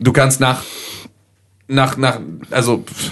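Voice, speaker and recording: A man with a medium-pitched voice speaks with vocal fry. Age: 20s. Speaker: podcast host. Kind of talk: casual chat.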